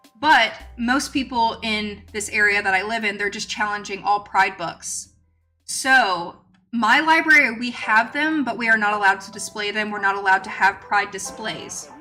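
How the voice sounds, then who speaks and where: With music playing in the background, a woman talks at a moderate pace in a fairly high voice, her pitch varying in an ordinary way while her loudness swings widely. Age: 20s. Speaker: live streamer, crochet and chat. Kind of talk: casual live-stream chat. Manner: casual, many fillers (like, um).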